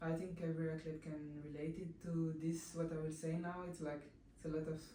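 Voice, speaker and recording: In a very deep, low voice, a woman speaks at a fairly quick pace with monotone, flat intonation, the recording carrying audible room echo and noticeable background noise. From France, raised in Guadeloupean family culture. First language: French. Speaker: professional athlete. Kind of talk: interview. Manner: halting.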